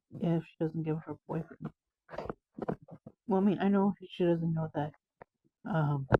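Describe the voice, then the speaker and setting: The speech has a fairly slow pace with long, frequent pauses. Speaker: comic book reviewer. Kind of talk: casual comic book read-through. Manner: halting, stumbling.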